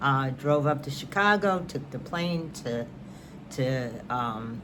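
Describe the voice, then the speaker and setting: With an American accent, a woman speaks very slowly in a very deep, low pitch, with audible room echo and noticeable background noise. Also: lively intonation. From New York. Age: 70s. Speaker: knitting and crafts vlogger. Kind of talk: casual chat.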